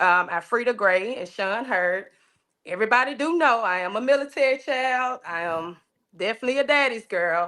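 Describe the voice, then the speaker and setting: On a very clean recording with a silent background, a woman speaks at a moderate pace with a bright, sharp tone. Her pitch is fairly high and her intonation lively. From Arkansas, Little Rock. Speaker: interview guest. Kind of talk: casual interview. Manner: loud.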